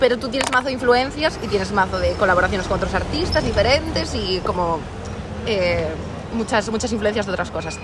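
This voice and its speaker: Noticeable background noise and audible room echo fill the recording. A woman speaks at medium pitch and a fairly quick pace. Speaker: podcast co-host. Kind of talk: casual chat.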